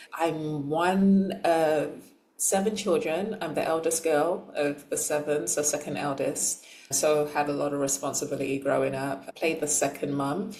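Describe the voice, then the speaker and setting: With a London accent, a woman speaks at a moderate pace in a very deep, low voice with ordinary pitch variation, amid audible room echo and noticeable background noise. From London, England (from age six; born in Nigeria). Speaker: transformational coach. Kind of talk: interview testimony. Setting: podcast interview.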